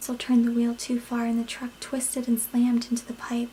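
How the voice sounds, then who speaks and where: A soft-spoken woman is whispering. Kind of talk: read story. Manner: whispered; calm.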